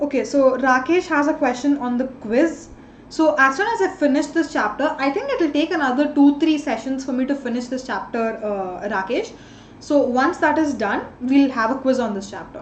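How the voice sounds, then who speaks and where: A woman's high-pitched, lively voice at a moderate pace, with noticeable background noise. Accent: Indian. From India. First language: an Indian language. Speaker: online tutor. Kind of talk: live online class.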